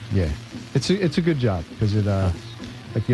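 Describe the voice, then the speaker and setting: Music plays in the background. A man speaks very fast at a fairly low pitch. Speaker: radio DJ. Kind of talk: casual on-air banter. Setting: studio. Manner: easygoing.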